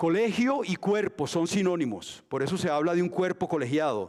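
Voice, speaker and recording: In a normal speaking voice, a man talks at a moderate pace with lively intonation. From Colombia, Antioquia. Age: 60s. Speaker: dancer and dance school founder. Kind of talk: lecture. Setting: museum auditorium with audience, streamed.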